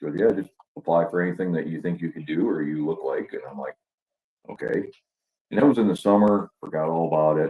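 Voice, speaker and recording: A man talks at a fairly quick pace. His pitch is very deep and low, with ordinary pitch variation. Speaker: actor, army veteran. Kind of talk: casual interview chat. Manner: animated storytelling.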